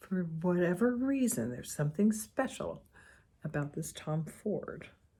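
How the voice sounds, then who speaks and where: This woman's tone is dark, mellow and somewhat breathy. Her intonation is lively. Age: 60s. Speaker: beauty vlogger. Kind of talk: casual talk to camera.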